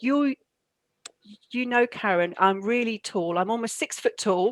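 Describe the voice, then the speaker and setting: A woman in an English accent at a moderate pace, dry and close with no echo, on a very clean recording with a silent background. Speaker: university leader. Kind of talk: interview. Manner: halting.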